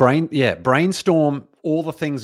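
A man speaks with an Australian accent. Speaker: entrepreneur and author. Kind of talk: interview. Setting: studio.

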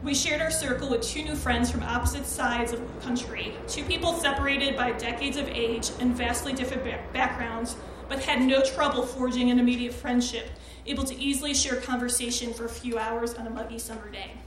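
A woman's high voice at a fairly quick pace in a flat monotone, with noticeable background noise and audible room echo. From Chicago. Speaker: writer and performer. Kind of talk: personal essay reading. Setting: stage with audience.

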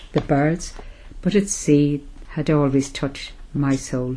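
With an Irish accent, a woman talks at a fairly slow pace in a very deep, low pitch. Her intonation stays fairly even. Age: 70s. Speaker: older person in lockdown, diarist. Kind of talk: audio diary.

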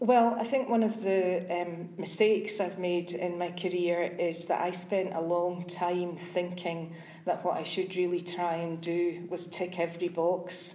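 A woman with a Scottish accent speaks at a fairly low pitch in a monotone, flat way, at a fairly slow pace with hardly any pauses. Room echo is audible. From Scotland, Glasgow. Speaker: IT sales executive. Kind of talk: interview. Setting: hotel.

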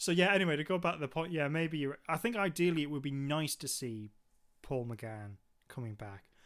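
A man with a Geordie accent, fairly high pitch, lively intonation and a fairly quick pace, on a very clean recording with a silent background. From Newcastle, northeast England. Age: 30s. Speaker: podcast co-host. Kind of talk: casual chat.

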